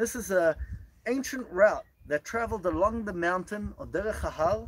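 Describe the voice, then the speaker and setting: A man speaks at a moderate pace. Noticeable background noise sits behind him. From Israel (Gush Etzion). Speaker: tour guide. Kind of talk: guided tour. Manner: enthusiastic.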